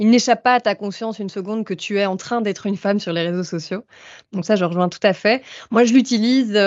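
A plain, everyday voice, a woman at a medium pitch with ordinary pitch variation and a fairly quick pace. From Belgium. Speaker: doctoral student and activist. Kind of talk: casual chat.

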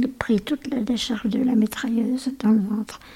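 The intonation stays monotone and flat. The pace is moderate. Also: woman. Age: 80s+. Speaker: great-grandmother and war-era witness. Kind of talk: casual family interview.

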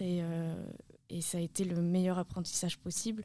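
A woman speaks at a fairly slow pace in a fairly low pitch, her tone dark and mellow. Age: 20s. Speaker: parkour and freerunning athlete. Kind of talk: casual interview. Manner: hesitant, with repetitions.

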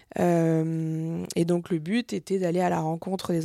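A woman's fairly low-pitched voice with a dark, mellow tone, in a very clean recording with a silent background. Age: 30s. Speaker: entrepreneur. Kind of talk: interview. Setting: office. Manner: hesitant, many filler sounds.

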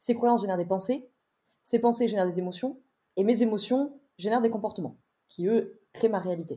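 A woman with a fairly high, dark, mellow, somewhat breathy voice speaks with ordinary pitch variation and long, frequent pauses. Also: fairly quick pace. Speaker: wellbeing coach and entrepreneur. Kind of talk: interview conversation. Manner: articulate.

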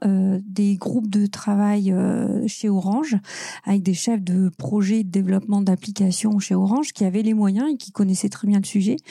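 A plain, everyday voice from a woman: medium pitch, moderate pace, ordinary pitch variation. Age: 40s. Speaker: UX consultant. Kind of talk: interview.

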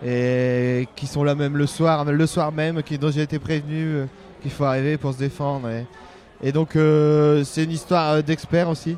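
A man with a fairly high pitch speaks at a fairly slow pace in a monotone, flat intonation. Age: 30s. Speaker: livestock and crop farmer. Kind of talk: interview. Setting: busy trade fair stand. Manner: halting.

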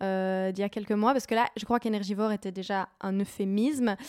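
In a plain, everyday voice, a woman speaks at medium pitch and a fairly quick pace, with a dry, close sound and no echo on a very clean recording with a silent background. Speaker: podcast host. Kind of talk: interview conversation. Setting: at guest's home.

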